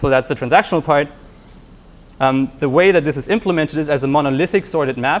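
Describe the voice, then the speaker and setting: The man's voice is fairly high. He talks very fast. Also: ordinary pitch variation. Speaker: software engineer giving a tech talk. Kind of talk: technical talk to live audience.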